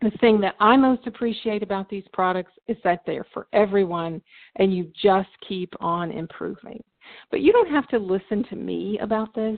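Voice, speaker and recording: An unremarkable speaking voice from a woman, medium in pitch, with ordinary pitch variation and a moderate pace. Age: 60s. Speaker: network marketing distributor hosting webinar. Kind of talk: sales presentation webinar. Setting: phone conference webinar.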